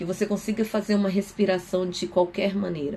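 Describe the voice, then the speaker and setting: Somewhat breathy, the woman's voice holds a medium pitch. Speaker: psychoanalyst. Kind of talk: live stream talk. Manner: fast.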